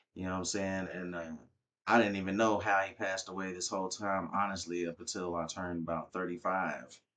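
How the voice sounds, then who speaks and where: In an American accent, a man with a very deep, low pitch and a bright, sharp tone talks very fast in a monotone, flat way over a quiet background. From Texas (Arlington). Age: 30s. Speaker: former military, rapper. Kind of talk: casual interview.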